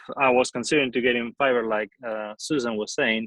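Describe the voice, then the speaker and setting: A man speaks at medium pitch with a strong Spanish accent. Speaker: aspiring voice actor. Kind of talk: casual chat.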